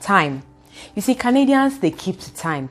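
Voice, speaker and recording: A woman speaks in an animated tone with a Nigerian accent. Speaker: youtuber. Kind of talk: vlog talk to camera. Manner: fast.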